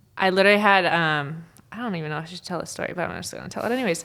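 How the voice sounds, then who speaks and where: With a Minnesotan accent, a woman talks at a fairly quick pace and a fairly low pitch with ordinary pitch variation, in a very clean recording with a silent background. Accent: Minnesota. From northern Minnesota. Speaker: sports referee. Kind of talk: casual interview chat.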